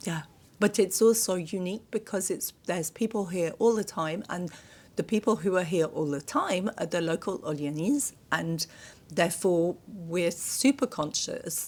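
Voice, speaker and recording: This woman has a British accent and a medium pitch. She talks at a moderate pace with ordinary pitch variation. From Britain. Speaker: podcast co-host. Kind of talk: casual interview chat.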